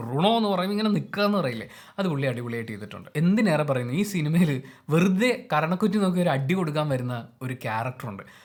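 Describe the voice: With few pauses, a man talks very fast in a fairly high voice with big pitch swings.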